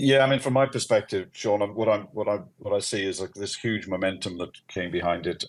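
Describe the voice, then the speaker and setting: Fairly low-pitched, a man talks at a fairly quick pace with a Welsh accent. The recording is very clean and the background silent. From Wales. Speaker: company CEO. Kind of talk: live audio AMA.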